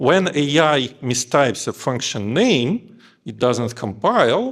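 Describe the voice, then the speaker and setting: Someone with a non-native accent talks over noticeable background noise. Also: man. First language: not English. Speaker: engineering lead. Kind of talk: conference talk.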